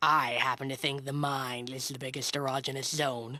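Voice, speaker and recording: A cartoonish character voice at a low-to-middle pitch, with monotone, flat intonation and a moderate pace. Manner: crisp, skeptical.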